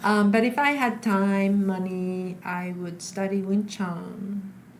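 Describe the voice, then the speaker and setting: Audible room echo surrounds a voice moving at a very slow pace. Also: woman. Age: 60s. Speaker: stage actor and flamenco dancer. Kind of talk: interview conversation. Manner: halting, many fillers.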